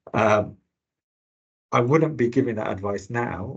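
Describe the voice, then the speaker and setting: Against a quiet background, a man speaks at a moderate pace. His voice is somewhat breathy. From England, Birmingham. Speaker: health service finance director, panelist. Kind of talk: webinar panel talk. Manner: hesitant, many fillers and repeats.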